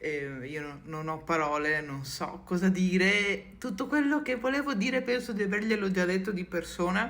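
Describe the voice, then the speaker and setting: A woman's medium-pitched voice with very wide pitch swings, at a moderate pace with hardly any pauses. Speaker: content creator. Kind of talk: personal video message. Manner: halting.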